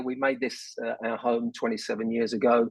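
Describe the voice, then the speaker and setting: In a London accent, a man at a medium pitch speaks in a monotone, flat way. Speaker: business leader, board chairman. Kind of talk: radio interview.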